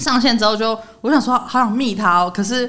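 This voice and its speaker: In a Taiwanese accent, a woman speaks with a bright, sharp tone and a fairly high pitch. Her pace is moderate and her pitch variation ordinary. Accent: Taiwanese Mandarin. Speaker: podcast host. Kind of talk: casual chat.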